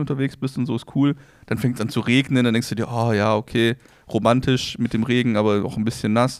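A man talks at a fairly quick pace. His medium-pitched voice has fairly even intonation. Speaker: podcast co-host. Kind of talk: casual chat. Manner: calm, relaxed.

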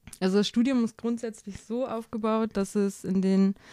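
On a very clean recording with a silent background, a woman with a dark, mellow tone speaks at a moderate pace with fairly even intonation. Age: 20s. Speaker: social work student and intern. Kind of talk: interview.

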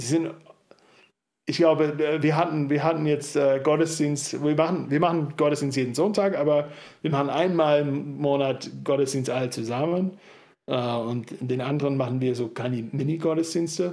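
A man speaks with a fairly high pitch. His pace is moderate and his intonation fairly even. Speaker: church planter. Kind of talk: interview. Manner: talkative.

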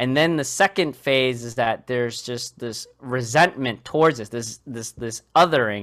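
A man with an American accent speaks in an unremarkable speaking voice at a medium pitch, fairly slowly and with hardly any pauses. His loudness swings a lot, while his pitch variation is ordinary. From Boston, Massachusetts. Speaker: clinical research professional. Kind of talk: casual interview.

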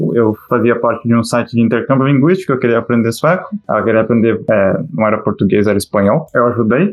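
Speaking at a very fast pace, a man keeps his loudness very even. His pitch varies in an ordinary way. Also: medium pitch for a man, hardly any pauses. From Brazil. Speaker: Brazilian immigrant abroad. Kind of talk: casual chat.

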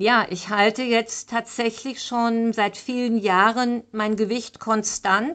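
A woman speaks at a very slow pace and a fairly high pitch. Her intonation is fairly even, over a quiet background. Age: 60s. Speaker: fitness and nutrition coach. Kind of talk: solo podcast monologue.

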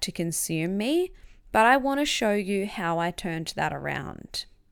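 This woman speaks at a medium pitch with lively intonation. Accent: Australian. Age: 20s. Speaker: podcast host and author. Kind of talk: reading aloud from own memoir.

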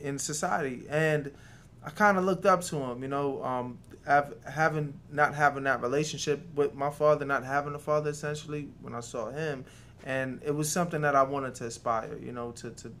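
A man's fairly high-pitched voice with a New York accent and ordinary pitch variation. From New York City (Queens), Jamaican-born. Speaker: restaurant co-owner. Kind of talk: interview.

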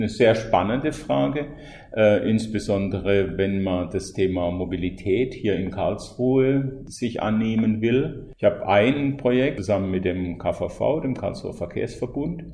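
A somewhat breathy man speaks at a fairly slow pace with hardly any pauses and lively intonation, and there is audible room echo. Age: 50s. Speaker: freelance mobility consultant, climate coach. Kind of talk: interview. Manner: halting, with fillers.

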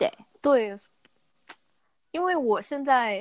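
A woman's voice comes through on a very clean recording, with complete silence behind it. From Guangzhou, southern China. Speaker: young professional living abroad. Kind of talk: casual chat.

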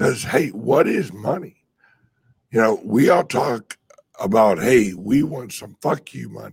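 Speaking at a fairly slow pace, a man uses lively intonation and a medium pitch, with vocal fry and big swings in loudness. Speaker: crypto livestream host. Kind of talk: casual livestream chat. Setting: live stream with microphone.

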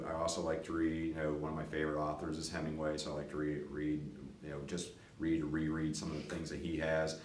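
The delivery is fairly quick, in a monotone, flat intonation. Noticeable background noise and audible room echo fill the recording. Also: man. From western Pennsylvania, Latrobe. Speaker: school administrator. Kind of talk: interview, casual chat. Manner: hesitant with frequent fillers.

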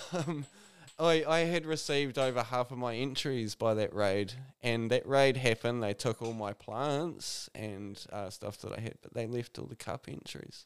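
In a New Zealand accent, the speaker talks at a moderate pace with big swings in loudness. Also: man, medium pitch for a man, ordinary pitch variation. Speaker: cannabis grower. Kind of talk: casual chat. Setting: studio.

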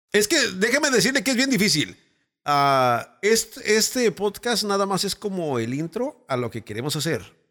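In a Mexican accent, a man talks at a moderate pace with a high pitch and a bright, sharp tone. His voice makes very wide pitch swings in a very clean recording with a silent background. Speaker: radio announcer and producer. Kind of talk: casual chat.

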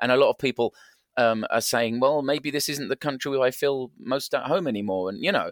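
With an English accent, a man speaks at a medium pitch with ordinary pitch variation. The sound is dry and close with no echo. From England. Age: 50s. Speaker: variety performer. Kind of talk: interview conversation.

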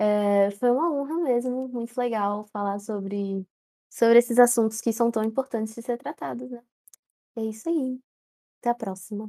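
A woman speaks with a fairly high pitch and a dark, mellow tone, her pitch varying in an ordinary way. Her loudness swings widely, and the sound is dry and close with no echo. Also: moderate pace. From Central-West Brazil. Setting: online voice call.

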